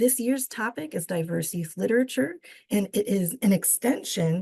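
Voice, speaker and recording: Using a raspy, put-on character voice, a woman at a medium pitch swings her pitch very widely at a moderate pace, recorded dry and close with no echo. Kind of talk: formal.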